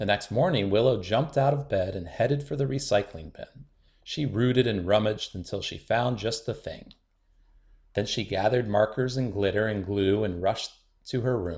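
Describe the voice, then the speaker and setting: A somewhat breathy male voice at a medium pitch, moderate pace, and ordinary pitch variation. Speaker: children's book reader. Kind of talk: bedtime picture book read-aloud.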